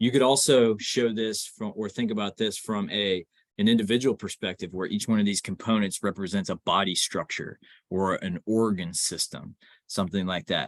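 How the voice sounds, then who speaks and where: A plain, everyday voice at a moderate pace, fairly even in intonation, with a dry, close sound, no echo and a quiet background. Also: man, fairly low pitch for a man. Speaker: instructor. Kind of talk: lecture.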